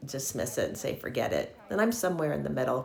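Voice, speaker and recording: In a room with audible echo and noticeable background noise, a woman speaks with a very deep, low pitch. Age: 60s. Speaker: lifestyle vlogger. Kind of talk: casual vlog monologue.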